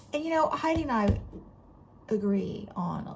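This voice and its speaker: With a Southern US accent, a woman's somewhat breathy voice moves through very wide pitch swings. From Florida, US South. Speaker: book vlogger. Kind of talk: casual chat.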